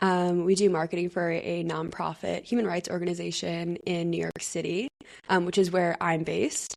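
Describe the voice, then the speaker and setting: Using a plain, everyday voice, a woman talks at a moderate pace with fairly low pitch and fairly even intonation. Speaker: podcast co-host. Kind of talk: casual chat; scripted podcast intro.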